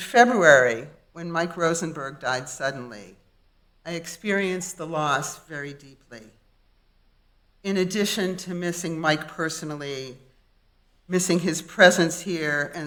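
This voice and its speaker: A woman's fairly low voice at a fairly slow pace, with ordinary pitch variation, big swings in loudness, and audible room echo. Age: 70s. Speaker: lay congregant giving sermon. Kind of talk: sermon. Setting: synagogue.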